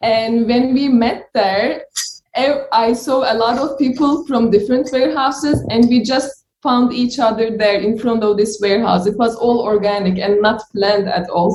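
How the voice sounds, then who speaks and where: A woman with a Turkish accent speaks at a fairly high pitch, with ordinary pitch variation and very even loudness. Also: moderate pace. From Turkey. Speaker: delivery rider. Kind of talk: interview testimony.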